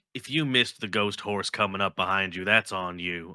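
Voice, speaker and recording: Putting on a character voice, a man talks at a fairly quick pace and fairly low pitch on a very clean recording with a silent background. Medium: actual play. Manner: casual.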